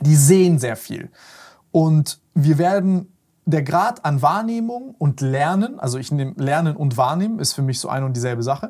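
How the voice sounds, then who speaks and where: A man's somewhat breathy, dark and mellow voice, fairly high in pitch, with lively intonation and a moderate pace. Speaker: podcast host. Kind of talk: casual interview.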